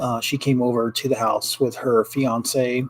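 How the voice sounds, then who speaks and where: Over noticeable background noise, a man at medium pitch speaks with monotone, flat intonation. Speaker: ring maker and small business owner. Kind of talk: casual livestream chat. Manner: quieter than usual; many fillers and hesitations.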